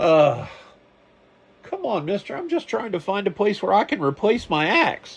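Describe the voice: A man uses a put-on character voice, high-pitched with very wide pitch swings. He goes at a moderate pace with long, frequent pauses.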